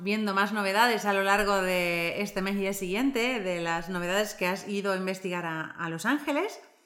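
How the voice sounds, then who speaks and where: Audible room echo surrounds a woman speaking at a moderate pace and a medium pitch. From Argentina. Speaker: podcast co-host. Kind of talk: podcast interview.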